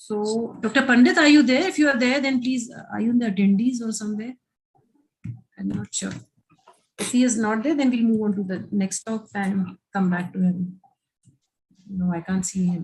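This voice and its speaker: Somewhat breathy and fairly high in pitch, a woman speaks with lively intonation and long, frequent pauses. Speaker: webinar moderator, gynecologist. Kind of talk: online webinar moderation. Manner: fast.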